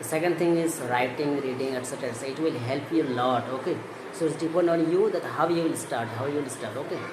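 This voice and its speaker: Speaking very fast with a Bengali accent, a man uses a fairly high pitch and fairly even intonation amid audible room echo and noticeable background noise. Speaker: English-learning YouTuber. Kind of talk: tutorial. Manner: halting.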